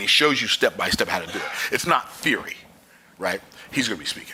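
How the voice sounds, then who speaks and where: Noticeable background noise runs through the clip. A man is the one talking. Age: 60s. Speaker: business coach. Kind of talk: motivational talk. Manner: animated.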